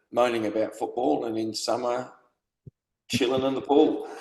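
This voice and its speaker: In an Australian accent, a man speaks at medium pitch with fairly even intonation. The room echo is audible. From South Australia (Adelaide), moved from UK as a child. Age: 70s. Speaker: football supporter, retired police officer. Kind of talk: casual interview.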